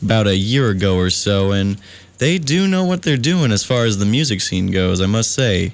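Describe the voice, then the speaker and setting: A man speaks in a normal speaking voice with lively intonation. His pace is moderate and his loudness very even. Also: fairly low pitch for a man. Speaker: college radio DJ. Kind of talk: late-night radio show host talk. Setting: radio studio. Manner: mock-formal, upbeat, comedic.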